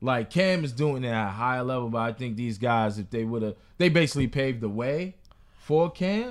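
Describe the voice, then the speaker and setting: A man with an American accent talks at a medium pitch and a moderate pace, using lively intonation. He has a normal speaking voice, captured in a very clean recording with a silent background. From New York. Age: 20s. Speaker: podcast host. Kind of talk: casual chat.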